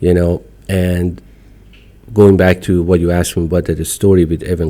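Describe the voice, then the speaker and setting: A man speaks at a moderate pace with a Persian accent, his very deep, low voice dark and mellow in tone. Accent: Persian accent, kept. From Iran. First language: Farsi. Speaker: podcaster and business owner. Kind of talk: casual chat.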